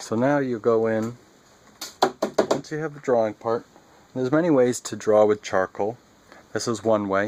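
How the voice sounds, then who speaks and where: Amid noticeable background noise, a man talks at a moderate pace with ordinary pitch variation and long, frequent pauses. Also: medium pitch for a man. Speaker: artist demonstrating drawing. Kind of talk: tutorial. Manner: soft-spoken; halting, self-correcting.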